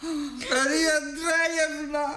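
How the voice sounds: In a put-on character voice with a bright, sharp tone, the words come at a very slow pace with little pitch movement. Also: man, extremely high pitch for a man.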